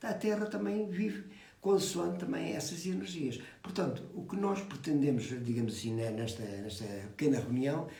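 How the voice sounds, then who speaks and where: With audible room echo and noticeable background noise, a man speaks at a moderate pace at a fairly high pitch with very wide pitch swings. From Portugal. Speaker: phytotherapist. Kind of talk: explanatory talk. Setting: live video call. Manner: soft-spoken; halting. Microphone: too quiet.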